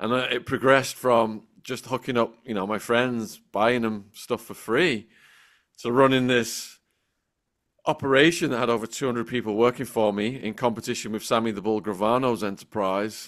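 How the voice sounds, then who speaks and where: A man with a northern English accent speaks at a medium pitch with fairly even intonation. The recording is very clean, with a silent background. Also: moderate pace. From northern England, between Liverpool and Manchester. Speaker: former drug trafficker turned author and YouTuber. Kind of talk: podcast interview.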